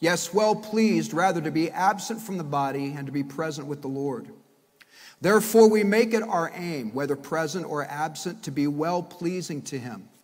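Against a quiet background, a man speaks with lively intonation. His pace is moderate. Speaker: pastor. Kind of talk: sermon. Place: church. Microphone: podium.

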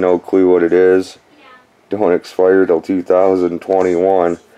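Over crowd noise in the background, a man talks in a very deep, low pitch with a monotone, flat intonation. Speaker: dumpster diving vlogger. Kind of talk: casual vlog chat. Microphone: phone near.

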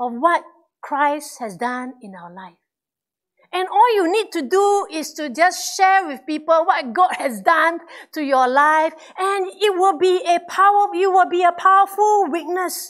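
Pitched extremely high, a woman speaks at a fairly slow pace. Her intonation is lively, and her loudness swings widely. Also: quiet background. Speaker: pastor. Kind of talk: sermon to a congregation. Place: church. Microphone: lapel.

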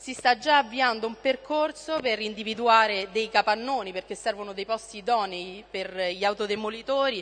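Speaking at a moderate pace with hardly any pauses, a woman shows ordinary pitch variation and big swings in loudness. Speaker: council member. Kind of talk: council speech. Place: hall. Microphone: podium.

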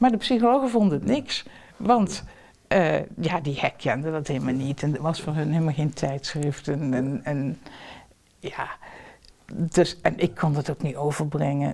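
Speaking at a moderate pace with long, frequent pauses, a woman has a very deep, low voice and a dark, mellow tone. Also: lively intonation. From southern Netherlands, Limburg; Netherlands. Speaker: professor. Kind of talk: interview. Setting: at home. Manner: talkative. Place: home room.

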